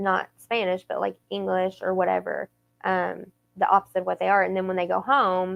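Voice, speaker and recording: A woman talks at a moderate pace in a Southern accent. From US South. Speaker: podcast co-host. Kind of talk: casual chat.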